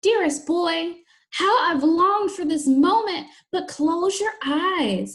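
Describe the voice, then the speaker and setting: In a put-on character voice, a woman whispers breathily at a moderate pace. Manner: whispering, sweetly pleading.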